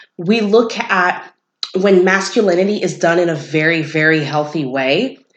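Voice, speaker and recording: Over audible room echo, a woman with a fairly low pitch speaks with lively intonation. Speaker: podcast host. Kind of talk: casual podcast commentary.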